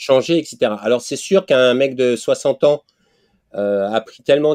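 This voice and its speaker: The sound is dry and close with no echo as a man speaks at medium pitch and a moderate pace. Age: 60s. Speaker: podcast host. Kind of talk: casual interview. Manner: halting.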